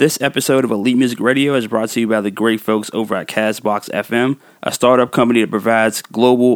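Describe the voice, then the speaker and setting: A man at a very fast pace with fairly even intonation, in a very clean, silent-background recording that is dry and close with no echo. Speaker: music podcast host and DJ. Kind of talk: podcast hosting with mix show and interview. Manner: casual, laughs often, conversational.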